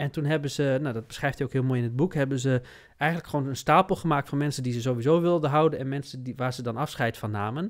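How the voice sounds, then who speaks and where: A man talks at a very fast pace with a fairly high pitch. His pitch variation is ordinary, and the background is quiet. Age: 40s. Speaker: business consultant; podcast host, coach. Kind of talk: casual chat. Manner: halting. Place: studio. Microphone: studio mic.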